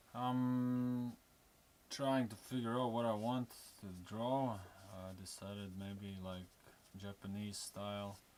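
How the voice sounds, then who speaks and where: A man with a fairly low pitch speaks at a very slow pace and fairly even intonation, with long, frequent pauses. Music plays in the background. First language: not English. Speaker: tattoo artist. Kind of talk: live drawing demonstration. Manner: halting, many fillers.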